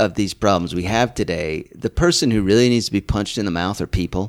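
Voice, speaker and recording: A man's fairly low-pitched, normal speaking voice with an American accent, fairly quick pace and ordinary pitch variation, in a very clean recording with a silent background and a dry, close sound with no echo. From Utah. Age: 50s. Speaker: comedian. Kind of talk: casual chat.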